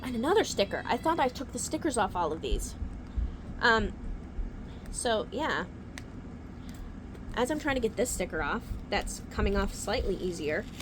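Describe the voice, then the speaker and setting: A woman's fairly high voice at a moderate pace, with very wide pitch swings, long, frequent pauses, and noticeable background noise. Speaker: book youtuber. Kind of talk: casual book haul video. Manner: whispering at times.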